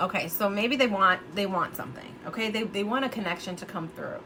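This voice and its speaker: A woman speaks at a medium pitch with lively intonation over noticeable background noise. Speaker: true crime youtuber. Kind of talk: casual monologue speculating on a case. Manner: halting, many fillers and restarts.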